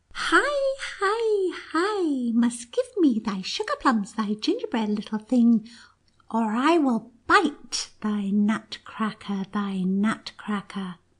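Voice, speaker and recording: This is a put-on character voice, squeaky and female-sounding. It moves at a very slow pace. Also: fairly high pitch for a woman. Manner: menacing, demanding.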